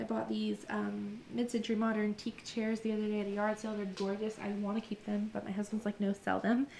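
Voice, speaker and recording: This woman's voice is somewhat breathy and fairly high in pitch. She speaks at a fairly quick pace. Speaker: shop owner and vlogger. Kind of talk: casual vlog tour. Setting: indoors in shop. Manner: fast.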